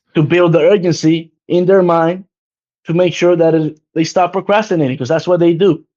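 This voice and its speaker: Talking at a fairly quick pace, a man with a non-native accent keeps a high pitch and fairly even intonation. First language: not English. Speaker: insurance sales agent. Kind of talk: casual chat.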